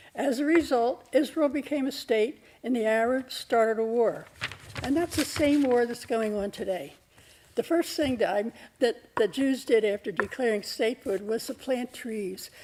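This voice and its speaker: A woman's high voice at a moderate pace with ordinary pitch variation. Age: 80s+. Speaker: public commenter. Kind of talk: public comment.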